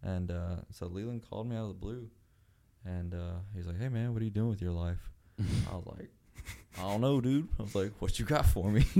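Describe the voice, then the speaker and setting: A man speaks at a fairly low pitch and a fairly quick pace, with a dark, mellow tone and ordinary pitch variation. His loudness swings widely, and the recording is very clean with a silent background. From Mexico. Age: 20s. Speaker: touring drummer. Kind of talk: casual chat.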